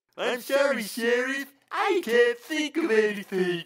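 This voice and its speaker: A man uses a cartoonish character voice, extremely high in pitch. He speaks at a fairly slow pace. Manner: hesitant, stammering.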